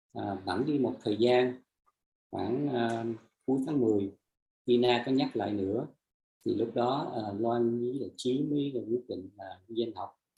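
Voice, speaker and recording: Somewhat breathy, a man speaks at a medium pitch. His pace is fairly slow and his intonation fairly even. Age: 60s. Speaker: energy healing practitioner sharing testimony. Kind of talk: testimony. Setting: live stream. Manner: halting; soft-spoken.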